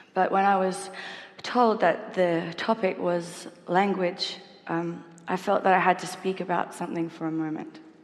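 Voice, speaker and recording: Over noticeable background noise, a woman with an Australian accent speaks at a moderate pace in a medium pitch with fairly even intonation. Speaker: singer. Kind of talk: public talk on stage. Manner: stuttering.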